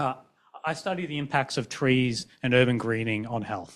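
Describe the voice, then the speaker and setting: With an Australian accent, a man speaks at a fairly quick pace. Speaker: physician and researcher. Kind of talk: panel discussion.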